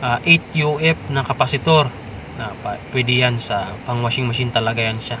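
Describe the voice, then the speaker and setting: A man's medium-pitched voice comes through noticeable background noise. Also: moderate pace. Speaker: DIY repair vlogger. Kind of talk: tutorial. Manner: casual, hesitant with fillers.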